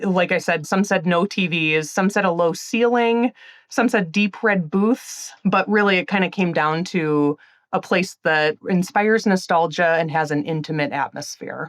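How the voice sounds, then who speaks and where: Speaking in a strong Wisconsin accent, a woman keeps a medium pitch with ordinary variation, a moderate pace and very even loudness. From Illinois. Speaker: magazine editor. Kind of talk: interview.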